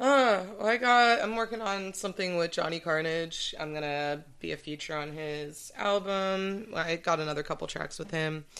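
Against a quiet background, a woman with an American accent speaks at a moderate pace in a normal speaking voice, fairly low-pitched with ordinary pitch variation. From Santa Barbara, California. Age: 20s. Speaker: rapper. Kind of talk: casual chat. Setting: studio.

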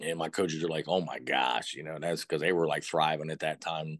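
A man with an American accent at a very fast pace, dry and close with no echo, quiet background. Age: 50s. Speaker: high school football coach. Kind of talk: casual interview. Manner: animated.

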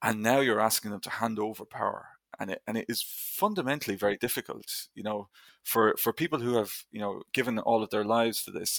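In an Irish accent, a man speaks at a medium pitch. The recording is very clean with a silent background and a dry, close sound with no echo. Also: ordinary pitch variation, fairly quick pace. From Ireland. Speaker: history lecturer. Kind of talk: interview.

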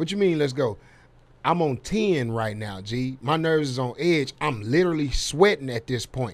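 Speaking with an American accent, a man with a fairly high pitch uses lively intonation at a moderate pace. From Dallas, Texas. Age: 30s. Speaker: comedian. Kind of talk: casual chat. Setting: studio.

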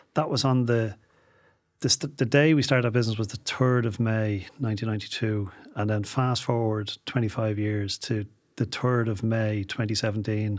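A man with an Irish accent speaks at a medium pitch and a moderate pace. His intonation stays fairly even. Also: very clean recording, silent background. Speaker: entrepreneur. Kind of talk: interview.

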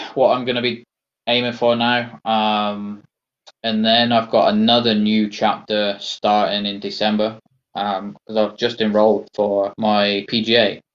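With a West Country accent, a man talks at a fairly slow pace and medium pitch. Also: fairly even intonation. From England, Somerset. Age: 40s. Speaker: army veteran and amputee golfer. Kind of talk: interview, personal testimony.

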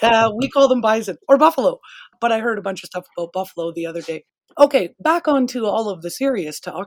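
A woman with a Canadian accent speaks very fast at a fairly high pitch, her pitch swinging very widely. Her loudness swings a lot, in a dry, close sound with no echo. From Canadian prairies. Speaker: pet store owner and podcast host. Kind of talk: casual interview.

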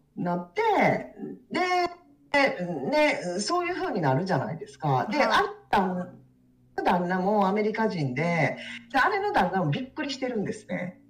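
A woman with a fairly high pitch speaks at a fairly slow pace, with very wide pitch swings and big shifts in loudness. Audible room echo and noticeable background noise fill the recording. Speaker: divorced woman sharing experience. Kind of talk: casual interview chat. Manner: halting, many fillers.

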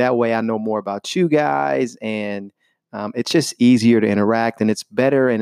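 A man with a Southern US accent speaks at a moderate pace in a medium pitch and an animated tone, recorded dry and close with no echo against a quiet background. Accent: Southern American. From US South, Chattanooga, Tennessee. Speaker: English teacher. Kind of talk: tutorial.

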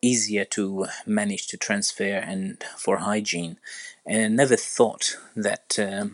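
A man with an Arabic accent speaks very slowly at a fairly low pitch. His intonation is fairly even. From Iraq. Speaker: orthopedic surgeon. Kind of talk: interview. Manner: hesitant, many fillers.

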